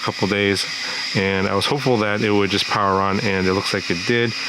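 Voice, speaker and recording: A fairly low-pitched man talking very fast with fairly even intonation, audible room echo and noticeable background noise. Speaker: FPV drone hardware reviewer. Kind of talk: product review. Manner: hesitant, many fillers.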